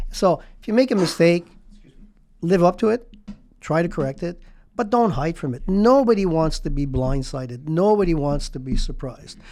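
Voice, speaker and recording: A man with a high pitch and a dark, mellow tone talks with lively intonation. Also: moderate pace. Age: 70s. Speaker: real estate executive. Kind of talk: interview conversation. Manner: halting.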